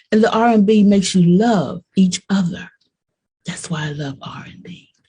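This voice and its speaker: Her loudness swings widely as a woman speaks at a moderate pace in a medium pitch with a dark, mellow, somewhat breathy tone. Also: ordinary pitch variation. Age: 70s. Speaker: bass player. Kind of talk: casual interview.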